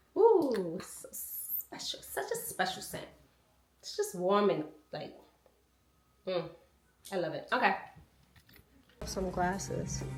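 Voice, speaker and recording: Pausing long and often, a woman speaks at a very slow pace with big swings in loudness and audible room echo. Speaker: lifestyle vlogger. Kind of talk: casual vlog talk to camera.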